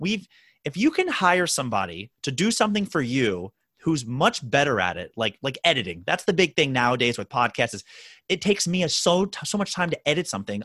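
A man talks at a very fast pace with a bright, sharp tone and very wide pitch swings. The sound is dry and close with no echo, and the background is quiet. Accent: American. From Baltimore, Maryland, US. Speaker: physical therapist. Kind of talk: interview.

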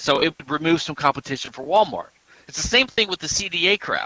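A man with an American accent speaks at a high pitch, his tone bright and sharp. His intonation is lively, and the sound is dry and close, with no echo. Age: 50s. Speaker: patent attorney. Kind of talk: interview.

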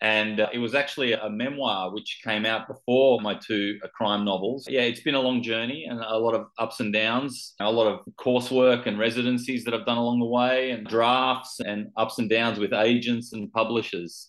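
A man speaks in a medium pitch with an Australian accent. He hardly pauses at all. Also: fairly even intonation, moderate pace. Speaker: author. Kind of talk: interview.

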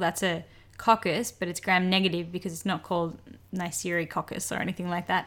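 On a very clean recording with a silent background, a woman speaks at medium pitch with monotone, flat intonation. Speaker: doctor, medical podcast co-host. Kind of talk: educational medical podcast chat.

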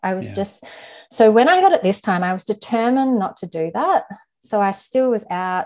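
An unremarkable speaking voice talks at a moderate pace with ordinary pitch variation over a quiet background. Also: woman, medium pitch for a woman. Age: 30s. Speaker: podcast guest sharing insomnia experience. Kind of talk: personal testimony.

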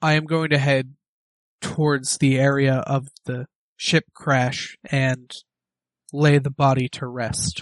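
A man puts on a character voice at a medium pitch, monotone and flat in intonation, at a fairly slow pace. Long, frequent pauses break up his speech, and the sound is dry and close with no echo. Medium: actual play. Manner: solemn, measured.

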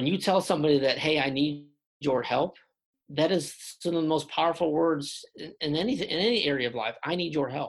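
Vocal fry and a slightly husky edge run through the voice, which keeps ordinary pitch variation. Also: man.

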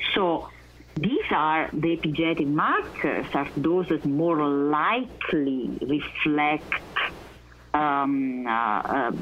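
A woman speaks very slowly with an Italian accent. Her pitch is very deep and low. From Italy, Naples. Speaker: research scientist. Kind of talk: interview. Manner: halting; passionate.

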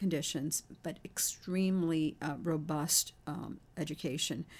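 A normal speaking voice with an American accent, fairly slow pace and ordinary pitch variation. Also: woman. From Haiti, then Queens, New York from age seven. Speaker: pediatrician and university president. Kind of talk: radio interview. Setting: studio.

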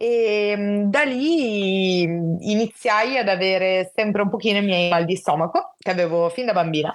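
At a fairly slow pace, a woman talks in an unremarkable speaking voice with very even loudness. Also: medium pitch for a woman, ordinary pitch variation, hardly any pauses. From Italy, Genoa. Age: 20s. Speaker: psychology student sharing her illness experience. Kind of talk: personal testimony in casual interview.

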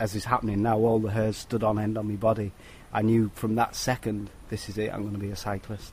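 At a fairly quick pace, a man with a British accent speaks at fairly low pitch in a monotone, flat intonation. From Britain. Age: 40s. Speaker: professional cyclist. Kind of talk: interview. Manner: halting.

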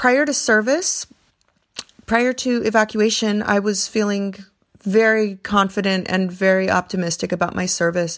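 An ordinary speaking voice from a woman at medium pitch, with ordinary pitch variation at a moderate pace, on a very clean recording with a silent background. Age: 30s. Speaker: Peace Corps volunteer, teacher trainer. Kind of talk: recorded voice memo testimony.

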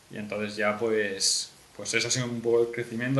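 A man speaks at a moderate pace in a medium pitch, with noticeable background noise behind him. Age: 20s. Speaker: young entrepreneur and university student. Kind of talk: casual interview.

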